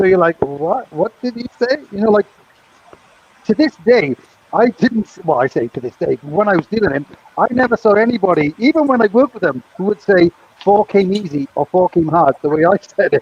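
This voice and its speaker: A man with a British accent and a high pitch, very wide pitch swings, a fairly quick pace and noticeable background noise. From Britain. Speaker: former craps dealer, co-host. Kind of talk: casual chat. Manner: animated.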